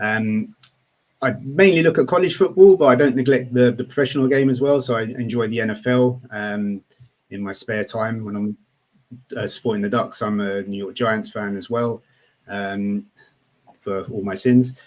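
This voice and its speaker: At a moderate pace, this voice comes through with a British accent. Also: man, medium pitch for a man, ordinary pitch variation. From Britain. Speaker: college football writer. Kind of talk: casual podcast chat.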